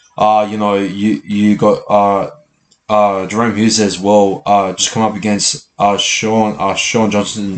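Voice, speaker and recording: In an Australian accent, a man talks at a fairly slow pace with fairly even intonation. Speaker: sports channel host. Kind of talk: live match reaction. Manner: halting, many fillers and repeats.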